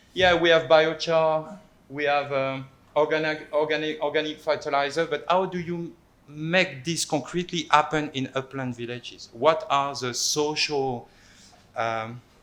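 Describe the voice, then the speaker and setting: Using a French accent, a man with fairly high pitch speaks at a fairly slow pace in a fairly even intonation. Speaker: anthropologist. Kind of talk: panel talk presentation. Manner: halting, many repetitions.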